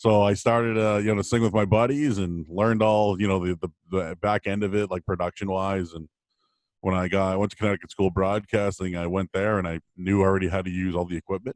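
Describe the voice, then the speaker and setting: In a very clean recording with a silent background and a dry, close sound with no echo, a man with an American accent speaks very fast at a fairly low pitch with fairly even intonation. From Boston area, Massachusetts. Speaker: sports radio host. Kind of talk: casual chat. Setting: podcast. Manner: casual, filler-heavy.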